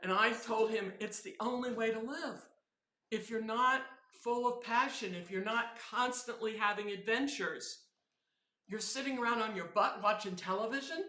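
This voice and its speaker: A woman with a fairly high pitch speaks in a bright, sharp, animated tone at a moderate pace, with ordinary pitch variation and audible room echo. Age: 70s. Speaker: software quality engineer and teacher. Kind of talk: casual interview chat. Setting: live stream at an event.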